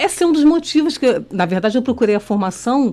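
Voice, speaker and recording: At a very fast pace, a woman with a Rio de Janeiro accent speaks in a high pitch with very wide pitch swings. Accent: Rio de Janeiro (carioca) accent, kept. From Rio de Janeiro, Brazil. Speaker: teacher and candidate for child protection council. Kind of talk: radio interview. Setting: radio studio. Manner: halting.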